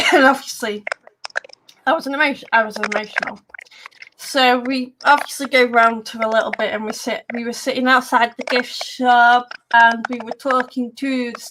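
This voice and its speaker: With an English accent, a woman speaks at a fairly high pitch using fairly even intonation. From England. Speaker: paranormal radio host. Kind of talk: casual chat. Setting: live stream. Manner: halting.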